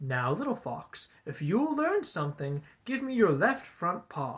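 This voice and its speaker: A put-on character voice at a middle pitch, moderate in pace, with very wide pitch swings. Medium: read story.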